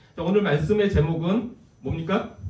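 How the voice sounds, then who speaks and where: A man's voice carries audible echo from the room. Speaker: guest preacher. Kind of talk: sermon. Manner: fast.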